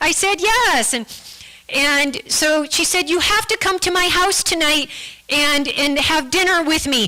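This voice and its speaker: Over noticeable background noise, a woman with an American accent uses a raised, projected voice at an extremely high pitch, with lively intonation and a fairly slow pace. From United States. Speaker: guest speaker sharing her faith story. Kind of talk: testimony. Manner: halting, with many repeated words.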